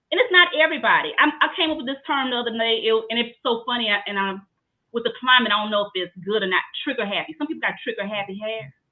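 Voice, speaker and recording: A woman with a Louisiana accent, fairly high-pitched and animated in tone, at a very fast pace. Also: lively intonation. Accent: US South, Louisiana. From Southeast Louisiana. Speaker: trichologist. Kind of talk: interview.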